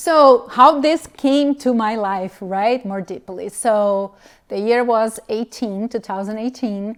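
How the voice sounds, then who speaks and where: In a very clean recording with a silent background, a woman speaks very slowly at a fairly high pitch with ordinary pitch variation. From Brazil. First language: Portuguese. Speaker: physical therapist and mobility specialist. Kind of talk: interview conversation.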